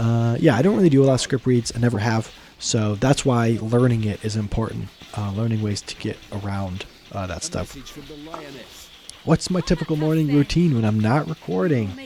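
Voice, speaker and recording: Over noticeable background noise, a man speaks at a moderate pace and medium pitch with lively intonation. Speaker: gaming YouTuber. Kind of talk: casual Q&A chat. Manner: casual, many fillers; spontaneous, unscripted.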